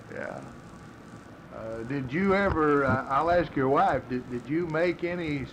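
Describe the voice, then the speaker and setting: Speaking at a fairly slow pace, a man has a fairly high pitch. It is an ordinary speaking voice. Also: ordinary pitch variation. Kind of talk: interview, casual reminiscing.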